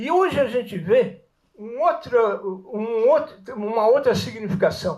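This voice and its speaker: A man with an extremely high pitch and lively intonation speaks at a fairly slow pace. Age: 80s+. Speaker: audience member, retired lawyer. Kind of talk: audience question at public talk. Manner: halting, repetitive.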